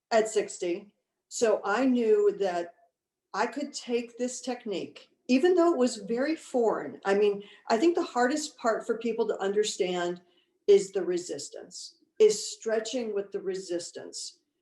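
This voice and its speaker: A woman's fairly high-pitched voice, dark and mellow in tone, with lively intonation at a fairly slow pace. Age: 60s. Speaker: customer giving testimonial. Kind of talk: testimony.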